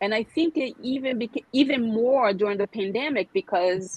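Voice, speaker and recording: A woman with a Brazilian Portuguese accent speaks at a moderate pace with lively intonation. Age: 40s. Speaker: skincare specialist. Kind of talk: podcast interview. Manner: halting.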